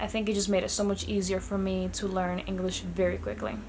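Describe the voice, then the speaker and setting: With a Spanish accent, a woman talks at a fairly quick pace. Audible room echo and noticeable background noise surround her voice. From Dominican Republic. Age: 20s. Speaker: vlogger. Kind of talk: casual vlog talk.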